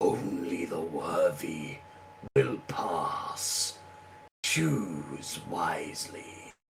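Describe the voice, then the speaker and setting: A man puts on a raspy character voice. He draws out his words at a very slow pace. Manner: demonic, ominous.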